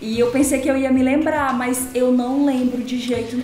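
Over noticeable background noise and audible room echo, a woman talks at a moderate pace in a high pitch. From Brazil, Maranhão (Coelho Neto). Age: 30s. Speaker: journalist. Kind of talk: casual chat.

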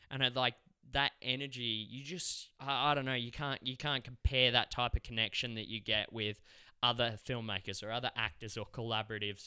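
Speaking with an Australian accent, a man uses a medium pitch, fairly even intonation and a bright, sharp tone at a fairly quick pace, in a dry, close sound with no echo and a very clean recording with a silent background. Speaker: actor. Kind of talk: casual chat.

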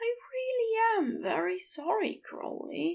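In a put-on character voice with vocal fry, the speaker goes at a slow pace with lively intonation. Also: woman, extremely high pitch for a woman.

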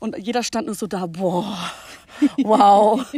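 Using a normal speaking voice, a woman talks at a fairly high pitch with lively intonation, the sound dry and close with no echo. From Munich area, Bavaria. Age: young. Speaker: hiking guest, works with children. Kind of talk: casual interview. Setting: outdoors on a mountain meadow.

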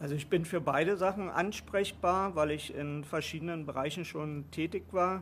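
Fairly high in pitch, this man's voice carries fairly even intonation. He speaks at a moderate pace. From Berlin, later long in Swabia. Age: 50s. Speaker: new party member, transport worker. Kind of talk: casual interview.

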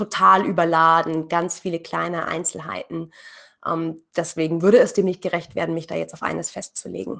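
The voice has vocal fry and a monotone, flat intonation. It moves at a moderate pace over a quiet background. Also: woman. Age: 30s. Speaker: writer and hobby role-player. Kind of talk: interview.

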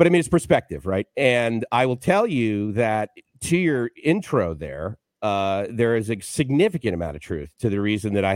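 With very wide pitch swings, a man with an American accent talks at a moderate pace and medium pitch, on a very clean recording with a silent background and a dry, close sound with no echo. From US, Boston, Massachusetts. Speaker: radio station owner and author. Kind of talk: interview.

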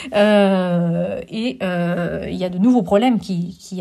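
Its tone is dark and mellow, while the pitch moves in an ordinary way. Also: woman. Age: 40s. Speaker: film critic and teacher. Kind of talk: solo film review podcast. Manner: hesitant, many filler sounds.

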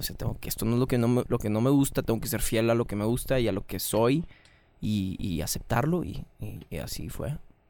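A man with a Mexican accent, medium-pitched, at a fairly quick pace. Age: 20s. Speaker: rock musician and content creator. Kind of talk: casual chat.

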